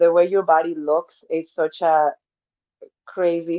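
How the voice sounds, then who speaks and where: A woman's fairly low, dark and mellow voice in a Spanish accent, at a fairly slow pace, with a dry, close sound and no echo. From Mexico. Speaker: personal trainer. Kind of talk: podcast interview.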